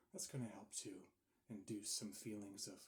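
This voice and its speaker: A soft-spoken man with a fairly low pitch and a somewhat breathy voice. His intonation stays monotone and flat. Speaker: ASMR creator. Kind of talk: ASMR session, soft-spoken talk to camera. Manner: soft-spoken, calming.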